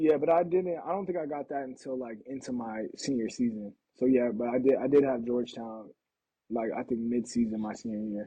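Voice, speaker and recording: A man with an American accent, medium pitch, ordinary pitch variation, a fairly quick pace and a plain, everyday voice. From Portland, Oregon. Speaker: professional football player. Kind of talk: casual interview. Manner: casual, filler-heavy.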